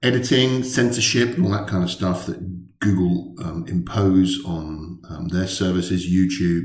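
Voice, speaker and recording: A man with a very deep, low, somewhat breathy voice speaks at a fairly slow pace with ordinary pitch variation amid audible room echo. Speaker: tech blogger. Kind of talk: casual vlog chat. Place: office. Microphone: webcam.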